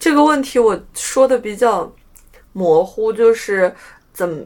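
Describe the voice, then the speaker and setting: Very slowly, a woman speaks. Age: 20s. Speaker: podcast co-host. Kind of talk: casual chat.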